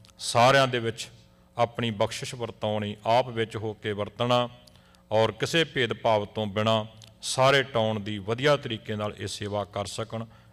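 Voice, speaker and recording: Medium-pitched and fairly even in intonation, a man speaks in a plain, everyday voice. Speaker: Sikh clergy member. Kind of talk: prayer (ardas).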